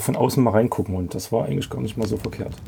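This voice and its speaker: The intonation is lively, with noticeable background noise behind it. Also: man. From Leipzig area, Saxony. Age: 40s. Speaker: camper. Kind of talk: casual chat.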